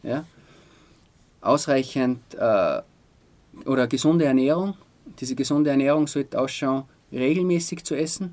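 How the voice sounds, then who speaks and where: A man's fairly high voice at a moderate pace, with fairly even intonation and long, frequent pauses. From Austria, Styrian Salzkammergut (Altaussee). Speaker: sports physician. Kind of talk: interview. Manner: hesitant, many fillers.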